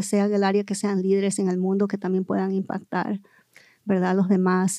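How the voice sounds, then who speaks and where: Recorded very cleanly against a silent background, a woman speaks at a medium pitch in a dark, mellow tone with monotone, flat intonation. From Southern California (Los Angeles area). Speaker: educator and school board candidate. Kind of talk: interview. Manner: halting, many fillers.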